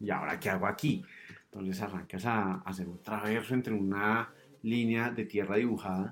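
A man is speaking. His pace is moderate. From Colombia, Cundinamarca (Suesca/Zipaquirá). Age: 30s. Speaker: mountain guide. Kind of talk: casual interview chat. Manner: hesitant, many fillers.

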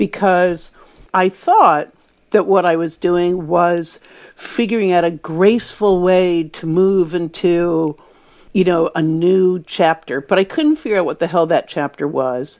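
Here is a woman with a normal speaking voice, pitched fairly low. The recording is very clean, with a silent background. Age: 60s. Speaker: author and publishing editor. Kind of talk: casual interview chat.

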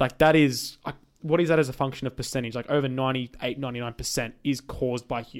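Fairly even in intonation and medium in pitch, a man speaks in a plain, everyday voice. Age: 20s. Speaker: podcast co-host. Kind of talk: casual chat.

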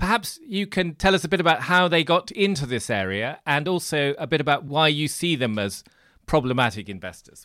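A man with a British accent talks at a fairly quick pace in a fairly high pitch, with very wide pitch swings and vocal fry. His tone is bright and sharp, on a very clean recording with a silent background. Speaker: podcast host and financial journalist. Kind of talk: interview.

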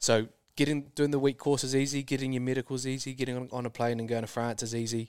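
Talking very fast with a New Zealand accent, a man keeps a medium pitch and a monotone, flat intonation. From New Zealand, rural. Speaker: super yacht crew member. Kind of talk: casual chat. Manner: hesitant, many ums.

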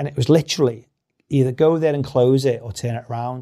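With a Liverpool accent, a man talks at a very fast pace in a medium pitch, with ordinary pitch variation and a dark, mellow tone on a very clean recording with a silent background. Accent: Scouse (Liverpool). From Liverpool, England. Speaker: company CEO. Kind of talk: interview conversation.

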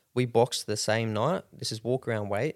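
This man has an Australian accent and a fairly low pitch, talking at a fairly quick pace. The recording is very clean, with a silent background and a dry, close sound with no echo. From Rockhampton, Queensland, Australia. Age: 20s. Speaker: professional MMA fighter. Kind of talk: casual interview chat.

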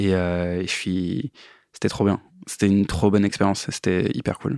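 Intonation stays fairly even while the talker keeps a moderate pace. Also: man. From eastern France (Metz). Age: 30s. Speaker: musician and sound engineer. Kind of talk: casual interview. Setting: studio. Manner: hesitant, many fillers.

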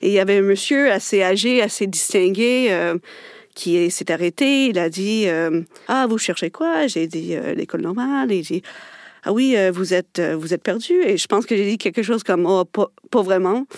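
A woman with a medium pitch speaks at a moderate pace with lively intonation, the sound dry and close with no echo. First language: English (speaking French). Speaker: linguist, researcher. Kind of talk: radio panel discussion.

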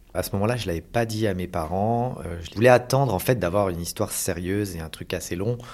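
A man talks at a fairly quick pace with a fairly low pitch, a normal speaking voice, and ordinary pitch variation on a very clean recording with a silent background. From Paris region, France. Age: 40s. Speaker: adoptive father. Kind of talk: testimony.

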